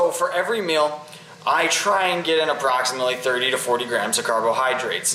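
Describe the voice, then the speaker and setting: Noticeable background noise and audible room echo surround a man speaking at a fairly quick pace. His pitch is fairly high and varies in an ordinary way. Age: young. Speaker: fitness vlogger. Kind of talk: casual tutorial. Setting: kitchen. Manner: casual, with fillers.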